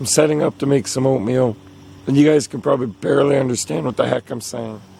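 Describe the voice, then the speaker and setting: Speaking at a very fast pace with a Canadian accent, a man uses a medium pitch and ordinary pitch variation over noticeable background noise. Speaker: outdoor adventure vlogger. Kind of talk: vlog narration. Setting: outdoors, solo wilderness camp.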